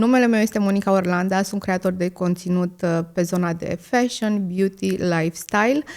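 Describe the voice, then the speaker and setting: With hardly any pauses, a woman speaks at a moderate pace and medium pitch, her intonation fairly even. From Romania, Moldavia region (Vrancea county). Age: 30s. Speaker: content creator, podcast host. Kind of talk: podcast Q&A monologue. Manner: many filler hesitations.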